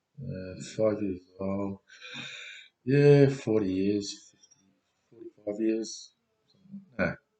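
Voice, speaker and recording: Music plays in the background as a man speaks at a very slow pace. His pitch is fairly low, and he takes long, frequent pauses. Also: ordinary pitch variation. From Australia (Elizabeth, South Australia). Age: 60s. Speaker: vlogger. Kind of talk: personal video message. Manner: halting.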